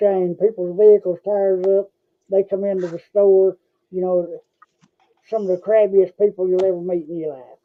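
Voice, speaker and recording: With an Appalachian accent, a man speaks at a moderate pace in a high pitch, his intonation monotone and flat while his loudness swings widely. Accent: Southern US (Appalachian). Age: 60s. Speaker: podcast host. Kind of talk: casual chat. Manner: halting, many fillers and repetitions.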